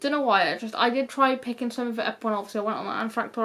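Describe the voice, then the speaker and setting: Talking at a very fast pace, a woman speaks with a British accent. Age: 20s. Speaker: YouTuber. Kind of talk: casual chat. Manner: casual, rambling with fillers.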